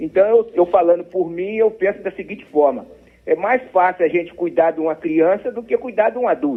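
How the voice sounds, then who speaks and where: This man's voice sits at a high pitch with ordinary pitch variation. He speaks at a moderate pace. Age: 70s. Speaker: radio listener calling in. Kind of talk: casual call-in chat.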